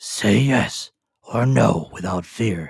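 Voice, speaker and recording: A man's put-on character voice, gruff and raspy, fairly low in pitch with lively intonation. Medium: read story.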